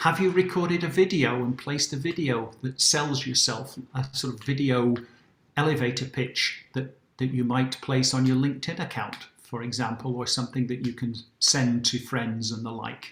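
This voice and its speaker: Speaking with a British accent, a man keeps a moderate pace and a medium pitch with ordinary pitch variation. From UK. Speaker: career workshop presenter. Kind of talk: workshop presentation.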